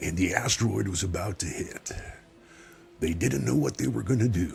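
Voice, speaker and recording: A man uses a put-on character voice with a very deep, low pitch. He talks at a moderate pace. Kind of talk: announcer voice. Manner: dramatic, over-the-top narrating.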